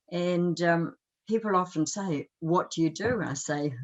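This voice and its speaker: With a New Zealand accent, a woman speaks at a fairly low pitch. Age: 70s. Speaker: life coach and energy healer. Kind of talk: interview.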